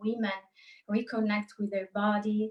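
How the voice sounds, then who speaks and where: A woman with an Italian accent speaks at a fairly high pitch and sounds somewhat breathy. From Italy. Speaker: psychologist and life coach. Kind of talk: interview. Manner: halting.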